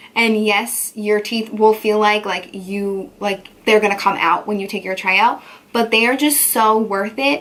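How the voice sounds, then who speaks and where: A woman speaks fairly slowly while noticeable background noise sounds behind her. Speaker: beauty vlogger. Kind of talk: casual chat. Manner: animated.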